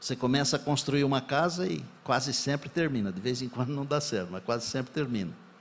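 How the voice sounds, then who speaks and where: With lively intonation, a man talks at a moderate pace in an unremarkable speaking voice. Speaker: pastor. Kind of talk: sermon.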